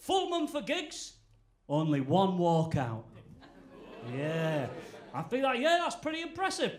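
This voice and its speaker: Amid audible room echo, a high-pitched man with a northern English accent speaks at a fairly slow pace, with very wide pitch swings and long, frequent pauses. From Yorkshire, northern England (Goole). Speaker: stand-up comedian. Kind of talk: stand-up. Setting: stage with audience.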